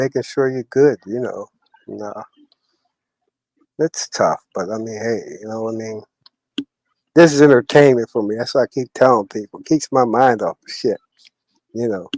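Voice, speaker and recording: A man with a medium pitch and ordinary pitch variation at a moderate pace, long, frequent pauses, big swings in loudness and a dry, close sound with no echo. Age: 60s. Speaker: live streamer. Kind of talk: casual chat. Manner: animated.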